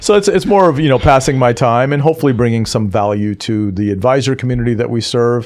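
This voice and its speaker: Speaking at a very fast pace with hardly any pauses, a man uses lively intonation at a medium pitch. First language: not English. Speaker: technology executive and author. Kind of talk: podcast interview. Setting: studio. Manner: hesitant, many fillers.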